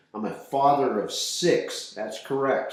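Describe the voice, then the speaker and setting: The speaker has an American accent and talks at a fairly slow pace. Noticeable background noise and audible room echo fill the recording. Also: man. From southern Colorado. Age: 60s. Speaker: podcast co-host. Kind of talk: casual chat. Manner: halting.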